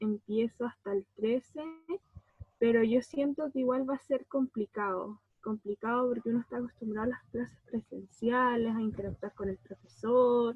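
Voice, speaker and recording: An ordinary speaking voice: a woman at a moderate pace, fairly high in pitch, with fairly even intonation. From Chiloé, southern Chile. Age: 20s. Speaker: social work student. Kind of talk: panel discussion.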